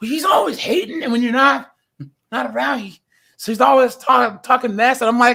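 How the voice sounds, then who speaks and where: Raising and projecting his voice, a man sounds animated, with an extremely high pitch, a bright, sharp tone, lively intonation and a fairly quick pace. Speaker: live stream host. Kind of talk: casual chat.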